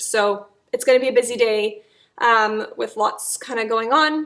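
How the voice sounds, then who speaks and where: Her pitch fairly high and her intonation fairly even, a woman speaks in a bright, sharp tone. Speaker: vlogger. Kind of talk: casual vlog talk to camera. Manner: halting, many fillers.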